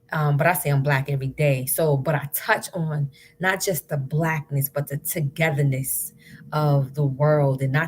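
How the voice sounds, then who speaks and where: Against music in the background, a woman talks at a fairly slow pace in a very deep, low pitch. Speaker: spoken word poet. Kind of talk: casual talk to camera on a live stream. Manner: upbeat.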